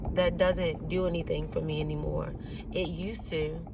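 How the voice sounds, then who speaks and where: Noticeable background noise under a woman's moderately paced speech. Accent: strong Baltimore. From Baltimore, US. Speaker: actress and content creator. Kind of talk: casual vlog talk. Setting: outdoors, walking or driving in city. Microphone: shaky phone recording.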